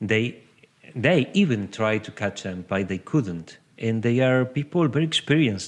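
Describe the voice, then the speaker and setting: A man speaks with a Uruguayan accent at a medium pitch. His pace is fairly slow. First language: Spanish. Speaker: horse-assisted coach. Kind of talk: interview. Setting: podcast recording. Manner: halting.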